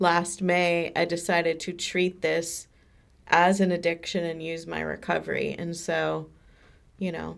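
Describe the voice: With vocal fry and monotone, flat intonation, a woman speaks at a fairly slow pace. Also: fairly low pitch for a woman.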